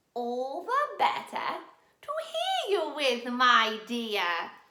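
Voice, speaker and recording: A put-on character voice, raised and projected, at a very slow pace. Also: woman, high pitch for a woman. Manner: funny, put-on.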